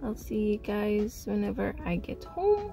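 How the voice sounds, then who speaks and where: A woman speaks at a fairly slow pace over clear background music, the sound dry with no echo. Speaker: vlogger. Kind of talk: casual vlog chat. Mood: cheerful, a bit reflective. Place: car. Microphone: phone near.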